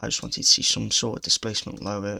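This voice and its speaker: Quietly, a man with a British accent speaks in a bright, sharp tone touched with vocal fry. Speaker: day trader. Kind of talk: trade recap commentary. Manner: quiet, subdued.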